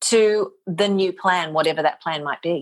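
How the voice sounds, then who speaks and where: A woman speaks in an Australian accent. Her pitch is medium, with ordinary variation. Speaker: motivational speaker and voice talent. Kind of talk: podcast interview answer.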